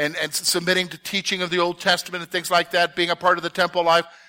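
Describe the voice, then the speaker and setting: A man projects a raised, high-pitched voice with a bright, sharp tone, recorded dry and close with no echo. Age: 50s. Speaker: Bible teacher. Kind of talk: Bible study lesson. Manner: conversational, frequent check-ins.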